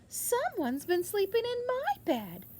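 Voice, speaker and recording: At a moderate pace, the speaker uses a squeaky, put-on character voice. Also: woman, extremely high pitch for a woman. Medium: read story.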